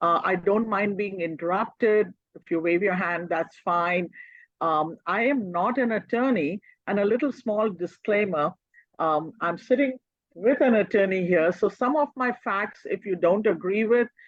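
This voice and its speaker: A woman speaks with an Indian accent at a medium pitch. Her pace is fairly slow against a quiet background. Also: ordinary pitch variation. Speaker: social worker. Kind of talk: presentation seminar.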